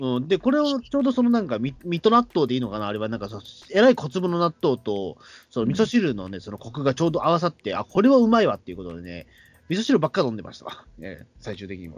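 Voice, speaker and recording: Fairly high male voice at a very fast pace, with very wide pitch swings and big swings in loudness over a quiet background. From Tokyo, Katsushika (shitamachi). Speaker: podcast host. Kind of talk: casual chat. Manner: halting, many fillers.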